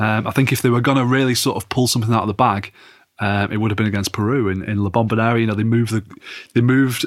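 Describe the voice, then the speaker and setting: A man with an English accent, fairly low in pitch, at a very fast pace. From England. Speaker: football journalist. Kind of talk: casual chat.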